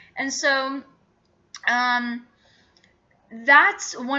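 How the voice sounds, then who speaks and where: A woman with an Arabic accent speaks in a high voice. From Iraq, moved to US around age 11. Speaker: vlogger. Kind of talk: casual vlog monologue. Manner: hesitant, many fillers.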